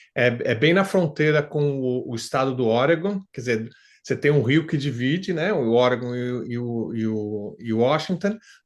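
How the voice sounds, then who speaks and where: Over a quiet background, a man speaks at a medium pitch. His pace is fairly slow. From Brazil, São Paulo. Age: 60s. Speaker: retired factory worker, client testimonial. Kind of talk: interview testimony. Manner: halting, many fillers.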